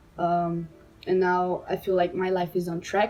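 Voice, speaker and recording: A woman's dark, mellow, fairly low voice with a Portuguese accent, at a moderate pace. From Brazil. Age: 20s. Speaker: medical student. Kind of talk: personal monologue to camera. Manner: halting, with fillers.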